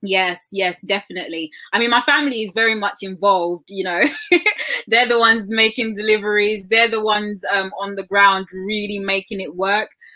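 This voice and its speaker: There is noticeable background noise as a woman speaks at a medium pitch. Her pace is moderate and her intonation fairly even. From Zambia. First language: Lozi. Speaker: entrepreneur. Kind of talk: interview.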